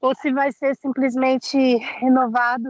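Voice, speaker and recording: In a dry, close recording with no echo, a woman with a high pitch speaks at a fairly slow pace in a monotone, flat intonation. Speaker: cycling advocate at a public council meeting. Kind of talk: meeting discussion. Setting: outdoors.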